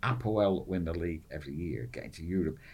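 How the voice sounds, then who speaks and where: A man speaks at a fairly quick pace with very wide pitch swings. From northern England. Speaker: football fan, expat. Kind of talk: casual chat.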